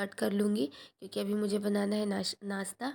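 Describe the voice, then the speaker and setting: In a very clean recording with a silent background, a woman speaks at a fairly slow pace and a medium pitch. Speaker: vlogger. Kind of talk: casual vlog narration.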